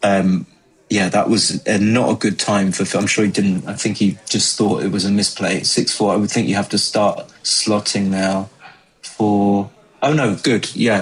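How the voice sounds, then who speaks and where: Speaking with an English accent, a man with a fairly low voice keeps a moderate pace and fairly even intonation against noticeable background noise. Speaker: backgammon commentator. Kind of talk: live commentary. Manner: mumbling; casual, halting.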